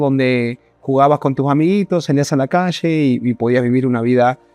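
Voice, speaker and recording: A man speaks at a fairly high pitch with fairly even intonation. Music plays in the background, and the sound is dry and close with no echo. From northern Argentina (Salta). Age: 30s. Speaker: ecommerce entrepreneur. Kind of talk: personal story monologue.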